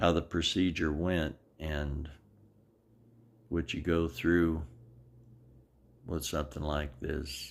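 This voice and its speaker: A man with a very deep, low pitch and vocal fry speaks very slowly in a flat monotone, with long, frequent pauses. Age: 70s. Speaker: video blogger sharing medical journey. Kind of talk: personal video diary.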